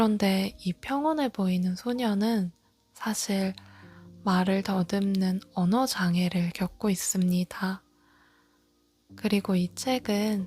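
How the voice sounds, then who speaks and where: Over music in the background, a woman of medium pitch speaks at a very slow pace in a calm tone. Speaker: audiobook narrator. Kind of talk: book introduction and read-aloud. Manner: calm, soft-spoken.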